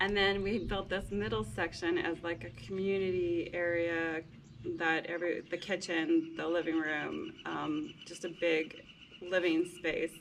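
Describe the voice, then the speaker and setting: A woman's unremarkable speaking voice with a fairly low pitch, ordinary pitch variation and a fairly slow pace. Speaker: homesteader building a house. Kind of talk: casual chat.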